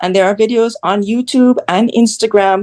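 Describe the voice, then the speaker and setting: A woman with an American accent speaks with ordinary pitch variation in a dry, close sound with no echo. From Jamaica. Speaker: content creator. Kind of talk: interview.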